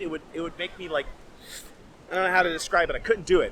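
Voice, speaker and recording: A man projects a raised voice at a high pitch. Noticeable background noise runs underneath. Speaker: vlogger. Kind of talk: casual vlog talk to camera. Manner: fast.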